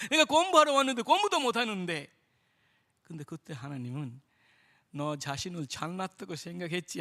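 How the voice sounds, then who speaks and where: At a moderate pace, a man projects a raised, high-pitched voice with very wide pitch swings. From India. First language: Indian language (speaking Korean). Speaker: missionary. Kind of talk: testimony. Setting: church.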